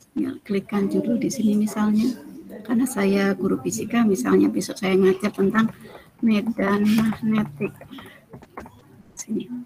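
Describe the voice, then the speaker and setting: Fairly slow speech broken by long, frequent pauses, with noticeable background noise. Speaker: teacher and workshop trainer. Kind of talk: online training tutorial. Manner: soft-spoken.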